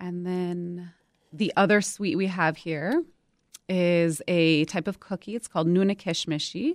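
On a very clean recording with a silent background and a dry, close sound with no echo, a woman uses a normal speaking voice with ordinary pitch variation. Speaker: political scientist. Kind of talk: radio interview. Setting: studio.

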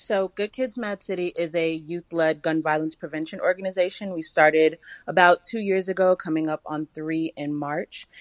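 With hardly any pauses, a woman in a plain, everyday voice speaks at a fairly low pitch, recorded with a dry, close sound and no echo. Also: fairly even intonation, moderate pace. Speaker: youth gun violence prevention organizer. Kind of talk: radio interview.

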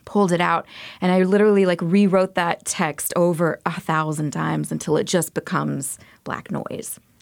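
A woman speaks with an American accent in a plain, everyday voice, her pitch fairly low and her intonation fairly even. She talks at a moderate pace on a very clean recording with a silent background. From US South, Montgomery, Alabama. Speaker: visual artist. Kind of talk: radio interview. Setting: radio studio.

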